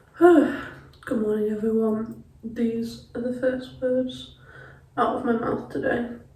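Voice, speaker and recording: Amid noticeable background noise and audible room echo, a woman speaks at a very slow pace, her pitch fairly high and her intonation fairly even. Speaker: student vlogger. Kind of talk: casual vlog.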